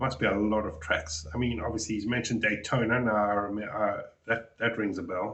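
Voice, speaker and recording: A man speaks at a fairly quick pace with a South African accent. His voice is fairly low, and the room echo is audible. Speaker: reaction youtuber. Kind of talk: reaction commentary. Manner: halting.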